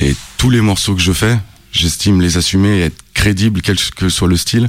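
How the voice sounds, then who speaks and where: Over noticeable background noise, a man's very deep, low voice shows ordinary pitch variation. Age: 30s. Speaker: rapper. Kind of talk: interview. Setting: studio.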